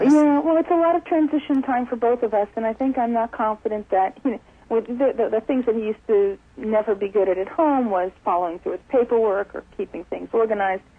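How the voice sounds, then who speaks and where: A woman talks at a fairly quick pace in a fairly high pitch with lively intonation. It is a normal speaking voice. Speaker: radio show caller, mother of a young adult son. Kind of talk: phone call to radio show. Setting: phone line.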